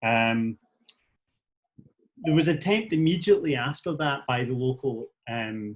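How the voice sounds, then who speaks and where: Speaking with a Scottish accent, a man uses a fairly high pitch and lively intonation at a moderate pace, with long, frequent pauses. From Scotland. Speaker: activist, teacher and musician. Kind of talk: talk to a meeting. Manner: hesitant, many fillers.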